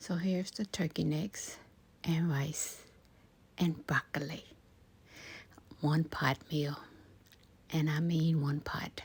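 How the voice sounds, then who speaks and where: Very slow female speech, very deep and low in pitch, somewhat breathy, with fairly even intonation and long, frequent pauses. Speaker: ASMR creator. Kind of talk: casual talk to camera while cooking. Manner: soft-spoken, calming.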